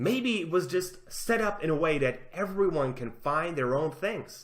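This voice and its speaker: A man with a non-native accent, a bright, sharp tone and very wide pitch swings. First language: not English. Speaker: gaming commentary youtuber. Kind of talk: commentary reading out an article. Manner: halting, self-correcting.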